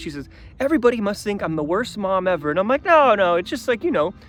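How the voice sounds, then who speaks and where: Over music in the background, a man talks at a very fast pace in an animated tone with lively intonation. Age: 30s. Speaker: vlogger. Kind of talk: casual vlog monologue. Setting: outdoors in the desert.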